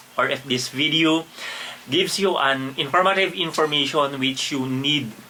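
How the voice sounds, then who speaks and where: Noticeable background noise sits behind a man who keeps a moderate pace. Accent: Filipino. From Philippines. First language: Filipino. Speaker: travel vlogger. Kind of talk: casual vlog narration. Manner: halting, many repetitions and fillers.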